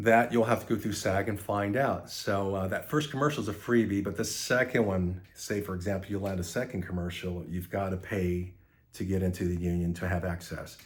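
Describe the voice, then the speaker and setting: A man speaks at a fairly quick pace with hardly any pauses. His voice is somewhat breathy. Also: fairly low pitch for a man, ordinary pitch variation. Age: 60s. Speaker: actor. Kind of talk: casual monologue. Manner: halting.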